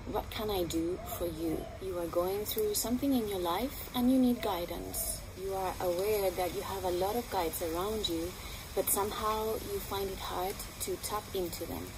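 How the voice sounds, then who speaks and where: With a non-native accent, a woman talks at a moderate pace over noticeable background noise. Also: medium pitch for a woman, ordinary pitch variation. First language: not English. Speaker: spiritual healer and channeler. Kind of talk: promotional monologue to camera. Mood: warm, earnest, encouraging. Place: garden.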